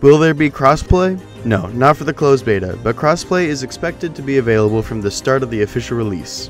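With music in the background, a man races along at a very fast pace with hardly any pauses and lively intonation. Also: medium pitch for a man. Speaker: gaming channel host. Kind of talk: game tutorial narration.

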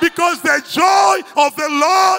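A man shouting at an extremely high pitch and a very slow pace over crowd noise in the background. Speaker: preacher. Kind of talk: sermon. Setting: church. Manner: animated; call-and-response, commanding. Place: church. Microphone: handheld.

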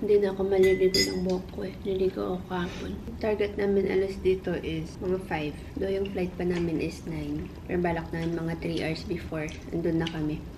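Over noticeable background noise, a woman speaks in a fairly low voice. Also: ordinary pitch variation, fairly quick pace. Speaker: vlogger. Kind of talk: casual vlog chat. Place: home room. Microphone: camera far.

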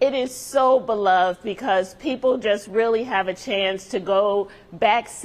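Speaking at a very slow pace, a woman keeps her intonation fairly even. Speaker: guest. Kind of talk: interview answer. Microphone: lapel.

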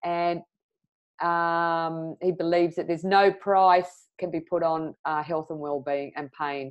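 Fairly slow speech over a quiet background. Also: woman. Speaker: interview host. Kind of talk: interview introduction. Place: home room. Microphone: earbuds.

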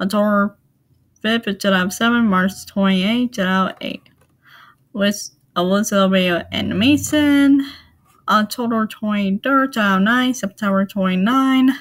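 At a moderate pace, a woman with a medium-pitched, somewhat breathy voice and ordinary pitch variation speaks with long, frequent pauses. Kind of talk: casual talk to camera.

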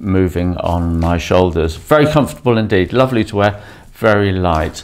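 A man talks at a moderate pace in a very deep, low pitch. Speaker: dive gear reviewer. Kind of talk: product review tutorial. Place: home room.

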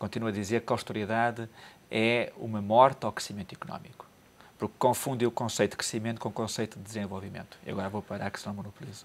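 A man talks at a very fast pace, his intonation fairly even. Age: 50s. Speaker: economic commentator; studio guest commentator. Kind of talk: TV panel discussion. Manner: halting, with frequent repetitions. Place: studio. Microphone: lapel.

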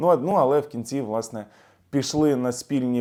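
This man has an unremarkable speaking voice, medium in pitch with ordinary pitch variation, talking at a moderate pace in a very clean recording with a silent background. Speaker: political analyst and YouTube blogger. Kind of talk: video commentary. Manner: casual, filler-heavy.

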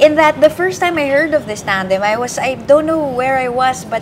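A woman with a high pitch and ordinary pitch variation speaks at a moderate pace over noticeable background noise. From Philippines. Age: 30s. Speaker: journalist. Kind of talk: live election-night panel discussion. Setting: studio. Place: office.

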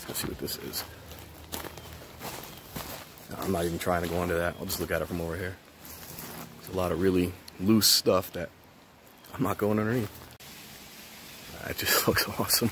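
Talking at a fairly quick pace, a man has a very deep, low voice with fairly even intonation over light background noise. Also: dry sound with no echo. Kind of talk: casual vlog commentary. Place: factory. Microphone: phone near.

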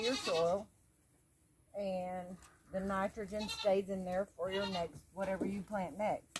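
Over noticeable background noise, a woman speaks at a fairly slow pace in a dry sound with no echo. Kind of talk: casual gardening tutorial. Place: garden.

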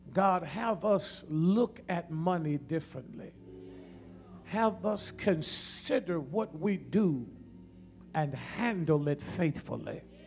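There is music in the background. Over it, a man talks very slowly. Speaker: preacher, pastor. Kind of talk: Baptist sermon. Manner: prayerful then preaching, engaging the congregation. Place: church. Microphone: podium.

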